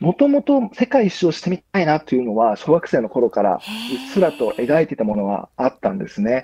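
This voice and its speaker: Very wide pitch swings mark a man's dark, mellow voice. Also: fairly high pitch for a man. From Japan, Chiba. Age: 30s. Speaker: ocean sailor. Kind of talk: interview. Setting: remote call. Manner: hesitant with fillers.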